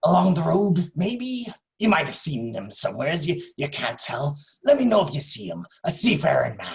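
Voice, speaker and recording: Gruff and high-pitched, a man does a put-on character voice at a moderate pace with very wide pitch swings and big swings in loudness. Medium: stage play. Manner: gruff, stammering.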